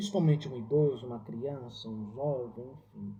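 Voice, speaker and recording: A man delivers his words fairly slowly, his intonation lively. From Ceará, Brazil. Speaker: religious educator. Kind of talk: reflective talk. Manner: halting.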